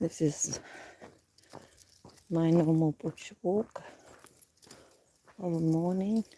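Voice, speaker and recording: A woman's fairly low voice, very slow with long, frequent pauses and fairly even intonation. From Australia, New South Wales. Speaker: livestreamer. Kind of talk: casual vlog livestream chat. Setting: outdoors, bush walk.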